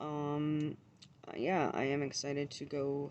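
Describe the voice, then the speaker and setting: A woman mumbles in a very deep, low voice with a dark, mellow tone and monotone, flat intonation. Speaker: vlogger. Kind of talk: casual vlog monologue. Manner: mumbling, stumbles over words.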